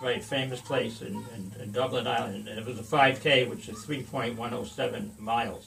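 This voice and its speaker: A man's medium-pitched voice at a moderate pace, with fairly even intonation, audible room echo, and noticeable background noise. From Rhode Island. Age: 70s. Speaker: veteran amateur runner. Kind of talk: casual chat. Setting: home man cave.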